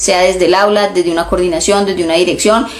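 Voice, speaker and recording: Noticeable background noise is present. The voice belongs to a woman. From Colombia. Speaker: education consultant and trainer. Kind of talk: instagram live talk. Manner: many filler hesitations.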